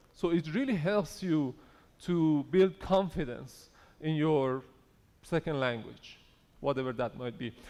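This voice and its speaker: A man's fairly high-pitched voice with a non-native accent, lively intonation and a fairly slow pace. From Iran. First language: not English. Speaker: conference speaker on AI. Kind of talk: conference talk. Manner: conversational.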